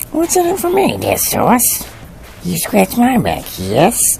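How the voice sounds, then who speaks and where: Someone performs a put-on character voice at a fairly slow pace over clear background noise. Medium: voice reel. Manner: sarcastic, exasperated.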